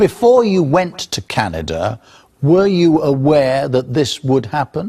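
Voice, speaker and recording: Somewhat breathy and dark, mellow in tone, a man's fairly high voice moves in very wide pitch swings at a fairly slow pace in a dry, close sound with no echo. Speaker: news presenter. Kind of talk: TV news presenting and interviewing.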